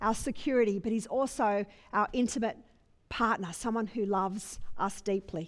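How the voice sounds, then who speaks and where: A woman with a plain, everyday voice speaks at a fairly high pitch and a moderate pace, with ordinary pitch variation. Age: 40s. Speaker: pastor. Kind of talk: sermon.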